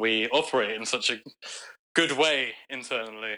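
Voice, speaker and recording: A man with a London accent speaks at a moderate pace in a bright, sharp tone. His medium-pitched voice shows ordinary pitch variation. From London, England. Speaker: bass player in a rock band. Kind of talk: casual interview chat.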